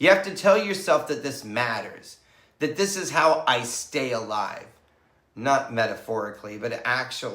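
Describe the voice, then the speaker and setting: Very wide pitch swings mark this man's fairly high voice. His tone is bright and sharp. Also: moderate pace. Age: 60s. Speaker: psychotherapist and equestrian. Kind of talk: motivational talk to camera.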